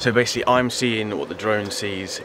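A man talking at a very fast pace amid noticeable background noise. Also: dry sound with no echo. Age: 20s. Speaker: drone pilot vlogger. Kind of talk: casual vlog talk to camera. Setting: outdoors in the mountains. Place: open country. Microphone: phone near.

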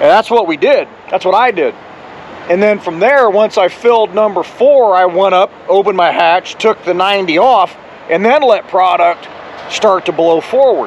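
A man speaks at a moderate pace in a high voice with ordinary pitch variation. The sound is dry with no echo, with light background noise. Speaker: truck driver vlogger. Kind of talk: casual vlog chat. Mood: relaxed, upbeat. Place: street. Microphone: phone near.

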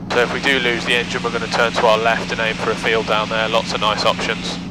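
A man talks at a fairly quick pace. The sound is dry with no echo, over loud background noise. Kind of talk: in-flight commentary. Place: plane. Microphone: headset.

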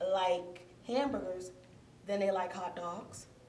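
Speaking at a very slow pace with lively intonation, a woman is heard with audible room echo and light background noise. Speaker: teacher. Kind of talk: lesson to class. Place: classroom. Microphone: camera far.

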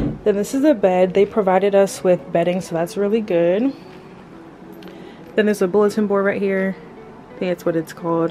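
A woman talks at a moderate pace with ordinary pitch variation and long, frequent pauses, while music plays in the background. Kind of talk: casual vlog chat. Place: home room. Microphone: phone near.

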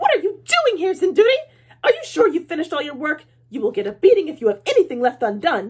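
Using a put-on character voice, a woman speaks shrilly at an extremely high pitch, very fast, with very wide pitch swings. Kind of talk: read-aloud storytelling. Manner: scolding, threatening.

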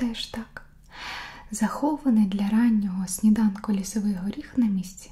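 A woman speaking at a fairly slow pace. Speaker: ASMR creator reading a story aloud. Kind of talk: bedtime story reading for sleep. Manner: whispered, soft, slow. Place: home room.

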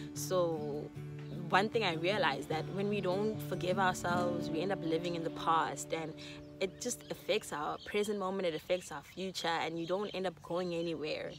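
A woman at a moderate pace, dry sound with no echo, clear music in the background. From South Africa. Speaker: YouTuber. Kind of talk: casual talk to camera. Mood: warm, earnest. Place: garden. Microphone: phone near.

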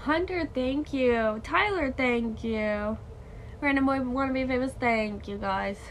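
Light background noise sits behind a woman with a high pitch. She talks at a fairly slow pace with ordinary pitch variation. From Canada. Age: 20s. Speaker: live streamer. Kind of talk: casual chat. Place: home room. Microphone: phone near.

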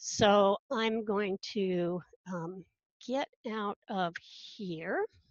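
A woman at a very slow pace with ordinary pitch variation, dry sound with no echo and a quiet background. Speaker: instructional technologist. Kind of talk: conference panel presentation. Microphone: webcam.

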